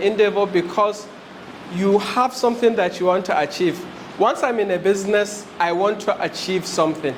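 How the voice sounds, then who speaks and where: A man with a high pitch speaks with ordinary pitch variation, with audible room echo and noticeable background noise. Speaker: HR specialist, business trainer. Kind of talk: lecture. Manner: fast.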